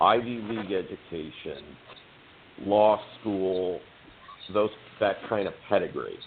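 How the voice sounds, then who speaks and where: A man with an American accent speaks at a fairly slow pace, with long, frequent pauses. Noticeable background noise can be heard. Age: 60s. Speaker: political candidate. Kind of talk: podcast interview. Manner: halting, repeats words.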